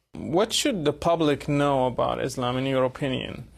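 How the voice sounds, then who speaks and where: Fairly even intonation from a man, pitched fairly high. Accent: Arabic. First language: Arabic. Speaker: TV interviewer. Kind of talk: interview.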